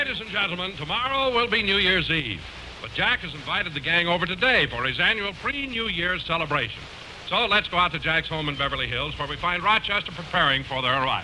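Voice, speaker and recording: A man with a high voice talks at a very fast pace over noticeable background noise. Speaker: radio announcer. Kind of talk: scripted radio announcing.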